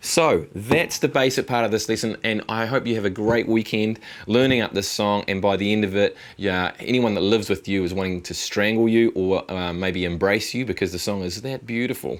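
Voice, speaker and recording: A man talks at a moderate pace in a relaxed tone. His pitch sits fairly low and varies in an ordinary way. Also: very clean recording, silent background. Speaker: guitar teacher. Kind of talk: tutorial. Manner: casual, relaxed.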